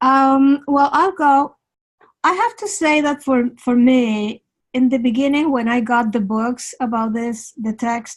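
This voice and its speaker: A woman's high-pitched voice at a fairly slow pace, with a non-native accent. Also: ordinary pitch variation. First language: not English. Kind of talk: casual chat. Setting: video call.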